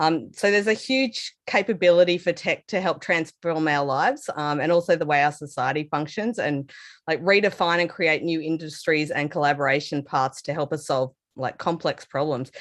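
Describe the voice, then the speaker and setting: Over a quiet background, a woman with an Australian accent speaks at a very deep, low pitch that moves with ordinary variation. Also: moderate pace. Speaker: developer advocate. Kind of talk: technical talk. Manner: casual with many fillers.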